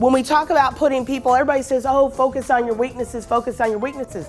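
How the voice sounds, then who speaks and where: Over music in the background, a woman with a high pitch speaks in an energetic, passionate tone at a fairly quick pace. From Houston, United States. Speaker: professional speaker and trainer. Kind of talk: motivational seminar talk. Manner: energetic, passionate, humorous.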